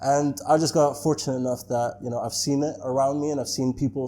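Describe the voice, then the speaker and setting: This man talks at a very fast pace in a fairly high voice with a dark, mellow tone. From Netherlands. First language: Dutch. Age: 30s. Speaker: entrepreneur. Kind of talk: interview. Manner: casual, many fillers.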